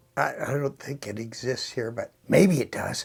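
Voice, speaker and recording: A man is whispering. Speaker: locksmith tutorial youtuber. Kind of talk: tutorial.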